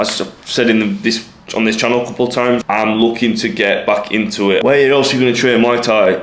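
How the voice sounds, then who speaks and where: Amid noticeable background noise and audible room echo, a man with an English accent speaks fairly quickly at medium pitch with fairly even intonation. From England. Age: 20s. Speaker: lifestyle vlogger. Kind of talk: casual vlog monologue.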